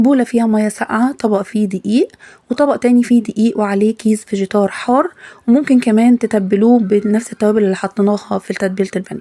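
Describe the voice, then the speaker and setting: The tone is dark and mellow, and the intonation is fairly even. The pace is fairly quick, and the sound is dry and close with no echo. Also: woman, fairly high pitch for a woman. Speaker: cooking channel host. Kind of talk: cooking tutorial.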